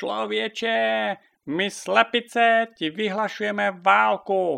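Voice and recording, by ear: A man puts on a character voice that is high-pitched, bright and sharp, with vocal fry and fairly even intonation.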